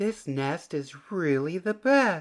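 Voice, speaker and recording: A man uses a put-on character voice. It sits at a high pitch. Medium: read story.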